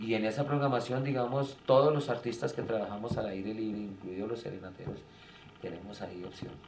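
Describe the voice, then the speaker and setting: Audible room echo around fairly quick speech with ordinary pitch variation. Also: man, medium pitch for a man. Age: 60s. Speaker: theatre director. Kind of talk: interview. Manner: hesitant, many fillers.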